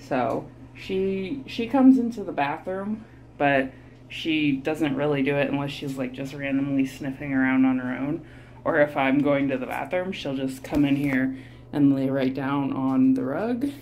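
Light background noise sits behind a woman whose very deep, low voice moves at a moderate pace with ordinary pitch variation. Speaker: vlogger. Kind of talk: casual vlog chat. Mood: relaxed, amused. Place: bathroom. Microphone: phone near.

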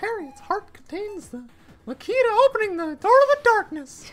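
Squeaky and extremely high, a put-on character voice moves at a moderate pace. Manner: goofy, cartoonish.

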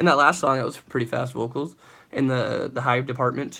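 A man's medium-pitched voice, fairly quick in pace, with a fairly bright tone

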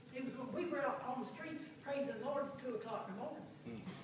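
Amid noticeable background noise and strong room echo, a woman talks at a fairly quick pace. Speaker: missionary. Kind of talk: church testimony. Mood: warm, joyful, grateful. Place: church. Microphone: camera far.

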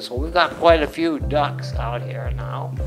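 Clear background music accompanies a man as he talks. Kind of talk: interview answer. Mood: warm, content. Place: home room. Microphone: lapel.

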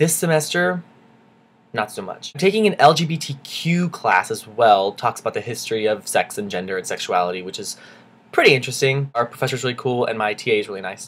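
A man talks at a fairly quick pace, his loudness swinging widely and his pitch leaping across a very wide range. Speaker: college student vlogger. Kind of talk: video diary. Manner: animated. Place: home room. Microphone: webcam.

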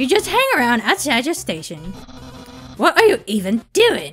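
Someone performs a put-on character voice at a fairly high pitch. Faint music plays in the background. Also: moderate pace. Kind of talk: casual gaming commentary. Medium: read story. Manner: loud, boastful.

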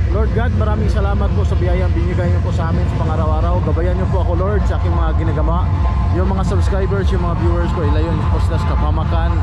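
A man talks very fast with loud noise behind him. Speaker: vlogger. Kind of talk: casual vlog chat. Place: street. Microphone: phone near.

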